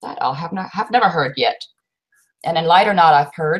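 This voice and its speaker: A woman speaks in a German accent with a fairly low pitch. Her voice is somewhat breathy, with ordinary pitch variation. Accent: German accent, still present. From Germany. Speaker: co-host of a bushcraft livestream. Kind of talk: casual livestream chat.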